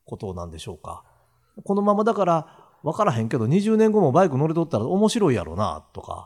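A man with a fairly high pitch talks at a fairly quick pace, with very wide pitch swings and big swings in loudness. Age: 60s. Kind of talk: casual chat.

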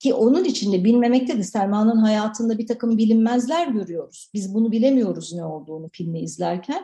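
A woman with a fairly high pitch and a dark, mellow tone speaks with ordinary pitch variation. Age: 40s. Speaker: film director. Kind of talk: radio interview. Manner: halting, many fillers.

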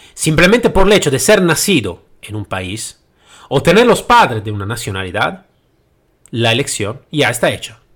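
At a moderate pace, this voice makes very wide pitch swings on a very clean recording with a silent background. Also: man, medium pitch for a man, big swings in loudness. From Italy. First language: Italian (speaking Spanish). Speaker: podcast host, trainer and consultant. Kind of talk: solo podcast monologue. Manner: halting, with hesitations.

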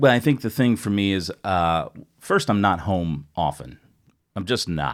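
A man with an American accent speaks in a plain, everyday voice at a fairly low pitch, fairly slowly and with lively intonation, on a very clean recording with a silent background. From United States. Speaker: podcast guest. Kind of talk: casual chat. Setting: studio.

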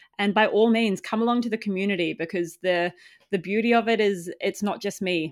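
Very cleanly recorded against a silent background, a woman with a New Zealand accent talks fairly quickly at medium pitch. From New Zealand, small farming town. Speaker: community founder. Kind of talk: casual interview.

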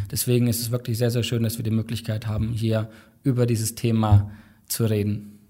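A somewhat breathy male voice with a dark, mellow tone, monotone, flat intonation and a fairly quick pace, on a very clean recording with a silent background. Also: medium pitch for a man. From Thuringia, Germany. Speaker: tech company employee. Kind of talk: casual chat.

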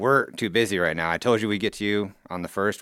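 A man's very fast speech, bright and sharp in tone, fairly low in pitch with ordinary variation, on a very clean recording with a silent background. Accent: US Midwestern. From Council Bluffs, Iowa, US Midwest. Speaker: contractor. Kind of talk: casual chat. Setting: studio.

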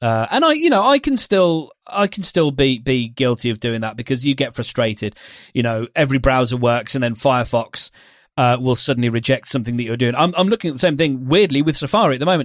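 A man with a British accent at a medium pitch, very fast pace and ordinary pitch variation. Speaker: podcast host and podcast platform developer. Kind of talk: casual chat. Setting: remote call.

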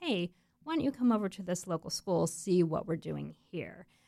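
Using a normal speaking voice, a woman with an American accent speaks at a fairly low pitch with ordinary pitch variation. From Florida, US. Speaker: nonprofit executive director. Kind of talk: interview. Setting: studio.

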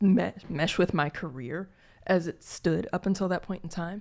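An ordinary speaking voice with ordinary pitch variation is heard on a very clean recording with a silent background. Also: woman. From Gary, Indiana, US Midwest. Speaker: podcast co-host. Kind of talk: casual chat.

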